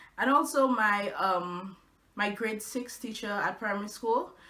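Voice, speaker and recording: With audible echo from the room, a woman is heard talking. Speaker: blogger. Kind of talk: casual vlog. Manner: halting, with fillers.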